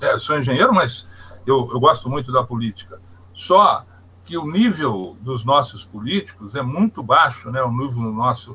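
At a moderate pace, a man with a medium pitch and lively intonation talks over noticeable background noise. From Minas Gerais, Brazil (Barbacena). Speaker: hydropower engineer. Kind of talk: interview.

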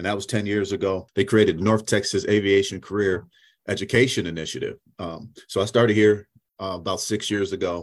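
A man with an American accent talks at a fairly quick pace and fairly low pitch, with fairly even intonation against a quiet background. It is an ordinary speaking voice. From Syracuse, New York. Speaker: aviation education program manager. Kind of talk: interview.

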